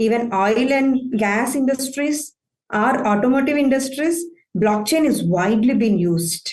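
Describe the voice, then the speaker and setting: With an Indian accent, a woman talks at a fairly slow pace in a high pitch, with ordinary pitch variation. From southern India. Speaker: IT operations manager. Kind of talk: conference talk.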